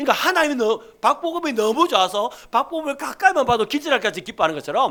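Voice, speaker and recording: Extremely high-pitched for a man, this voice has a bright, sharp tone and very wide pitch swings. He talks at a very fast pace. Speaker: pastor. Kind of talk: sermon. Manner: animated.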